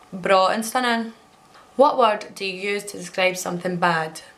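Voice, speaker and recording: This speaker has a Scottish accent. The pace is moderate and the pitch varies in an ordinary way. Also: woman. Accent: Scottish (Alloa). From Alloa, Scotland. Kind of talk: casual talk to camera.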